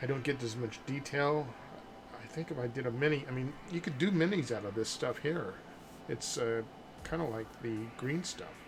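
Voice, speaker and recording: A medium-pitched man talks with an American accent and ordinary pitch variation. There is noticeable background noise along with audible room echo. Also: moderate pace. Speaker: sculptor. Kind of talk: live stream tutorial chat. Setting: live stream.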